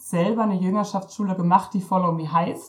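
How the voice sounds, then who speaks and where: A woman talks at a moderate pace and medium pitch, her voice somewhat breathy and her intonation fairly even. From Germany, East Westphalia-Lippe. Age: 30s. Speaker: missionary. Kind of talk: interview.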